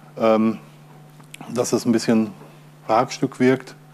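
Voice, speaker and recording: A man speaks at a fairly slow pace over light background noise. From Ruhr area, Germany; Germany. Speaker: open source software user and conference speaker; conference speaker. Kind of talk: conference talk. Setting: stage with audience. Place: hall.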